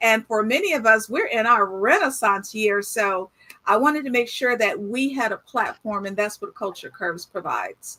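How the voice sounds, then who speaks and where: A woman with a plain, everyday voice, a fairly high pitch, ordinary pitch variation and a moderate pace. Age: 60s. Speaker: fashion platform founder. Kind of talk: casual video chat interview.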